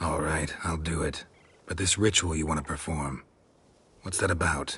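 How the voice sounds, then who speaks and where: At a moderate pace, a man puts on a character voice with a very deep, low pitch. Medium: video game. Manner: terse, deadpan.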